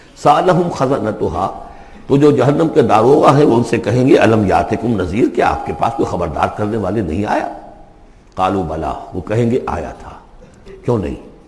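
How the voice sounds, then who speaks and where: Over noticeable background noise, a man at medium pitch talks with very wide pitch swings. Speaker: Islamic scholar. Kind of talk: Islamic lecture with Quran commentary.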